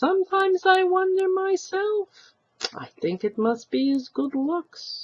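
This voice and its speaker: A female-sounding voice puts on a character voice at an extremely high pitch and a fairly slow pace. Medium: read story.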